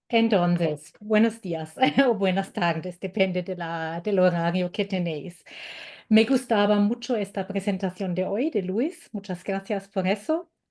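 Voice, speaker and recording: With a German accent and a dark, mellow tone, a woman speaks at a fairly slow pace and medium pitch with ordinary pitch variation against a quiet background. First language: German (speaking Spanish). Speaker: German language teacher. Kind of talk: webinar presentation. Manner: halting.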